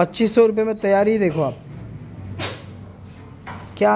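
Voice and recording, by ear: A dark, mellow tone marks this man's voice.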